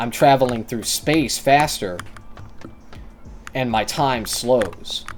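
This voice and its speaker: Music plays in the background as a man talks at a fairly slow pace. His pitch is medium, with ordinary pitch variation. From rural America. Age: 20s. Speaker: streamer. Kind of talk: casual chat. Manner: halting.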